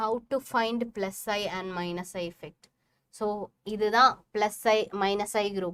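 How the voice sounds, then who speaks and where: Speaking with a Keralan accent, a woman moves at a fairly slow pace with fairly even intonation and big swings in loudness. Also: medium pitch for a woman. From Kerala, Kozhikode. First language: Malayalam. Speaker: chemistry teacher. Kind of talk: live online class lecture. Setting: livestream.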